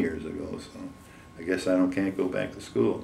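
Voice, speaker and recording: A man's fairly low-pitched voice comes through with audible room echo and noticeable background noise. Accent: American. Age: 80s+. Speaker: war veteran. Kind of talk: oral history interview. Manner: halting.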